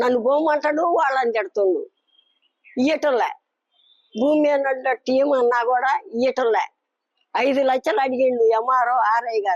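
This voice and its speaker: Recorded with a dry, close sound and no echo, a woman speaks at a high pitch with ordinary pitch variation. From Nalgonda district, Telangana. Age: 80s+. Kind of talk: interview answer, pleading complaint.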